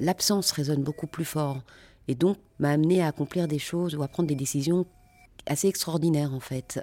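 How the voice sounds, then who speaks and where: A woman's very deep, low voice, dark and mellow in tone, with fairly even intonation, a fairly quick pace, long, frequent pauses, and a dry, close sound with no echo in a very clean recording with a silent background. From Brussels, Belgium. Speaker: actress. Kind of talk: interview.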